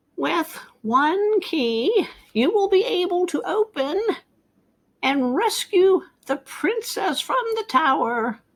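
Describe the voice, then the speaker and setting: A woman's put-on character voice, cackling, extremely high-pitched with very wide pitch swings, at a very slow pace broken by long, frequent pauses. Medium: read story.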